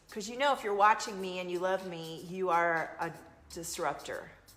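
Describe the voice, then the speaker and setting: A woman with a slight Southern US accent speaks at a moderate pace with ordinary pitch variation. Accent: slight Southern US twang. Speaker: intuitive coach and card reader. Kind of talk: live stream chat and card reading. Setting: live video stream. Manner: animated.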